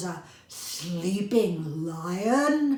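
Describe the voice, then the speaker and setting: A woman growls in a put-on character voice. There is a slight echo. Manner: growling, menacing, haughty.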